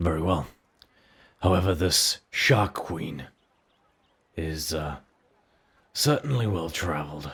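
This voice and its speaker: A man puts on a raspy character voice, pitched very deep and low with ordinary pitch variation. He goes at a fairly slow pace, with long, frequent pauses. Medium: actual play. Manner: measured, courteous.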